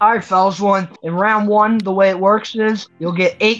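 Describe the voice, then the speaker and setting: A woman talks at a moderate pace. Her intonation stays flat and monotone. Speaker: trivia show host. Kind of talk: game show hosting. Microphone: video call.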